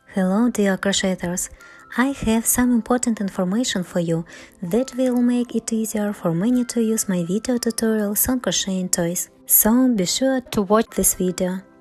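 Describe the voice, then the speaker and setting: Noticeable background noise sits behind a woman speaking at a moderate pace. Her voice is fairly high, with ordinary pitch variation. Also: very even loudness. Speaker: crochet teacher. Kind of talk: channel announcement.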